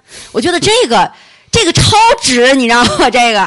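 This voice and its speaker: Animated in tone, a woman with a fairly high pitch speaks at a moderate pace with very wide pitch swings. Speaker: podcast host. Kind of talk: casual chat. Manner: chatty, animated.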